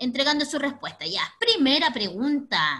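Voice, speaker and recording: A woman with a Chilean accent speaks in a raised, projected voice. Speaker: teacher. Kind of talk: online class for children. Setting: video call. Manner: energetic. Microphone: video call.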